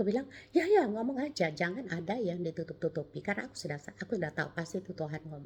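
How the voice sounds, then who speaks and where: The speaker talks at a very fast pace in a somewhat breathy voice. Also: woman. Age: 70s. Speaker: cancer survivor sharing testimony. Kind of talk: testimony. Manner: halting.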